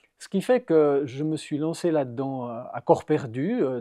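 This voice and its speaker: A man talks at a fairly slow pace. The background is quiet and the sound is dry and close with no echo. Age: 60s. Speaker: churchgoer giving his faith story. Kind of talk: testimony. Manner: halting, many hesitations.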